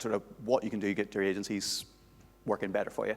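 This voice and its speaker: On a very clean recording with a silent background, a man speaks at a fairly low pitch with a Northern Irish accent. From Northern Ireland. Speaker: conference speaker, SEO manager. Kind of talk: conference talk. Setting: stage with audience.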